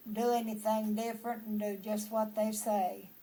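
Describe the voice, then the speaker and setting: In a Texan accent, a woman speaks very slowly with a somewhat breathy, dark, mellow tone, a fairly high pitch and monotone, flat intonation. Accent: Texan Southern American. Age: 80s+. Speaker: storyteller. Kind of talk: family history storytelling.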